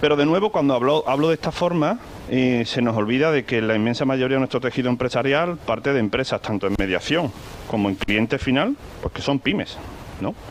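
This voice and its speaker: Over noticeable background noise, a man with a slight Andalusian accent talks fairly quickly at a medium pitch with lively intonation. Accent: slight Andalusian (Seville). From Seville, Spain. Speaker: corporate risk manager, panel speaker. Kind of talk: conference talk. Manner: hesitant, with many repetitions and fillers.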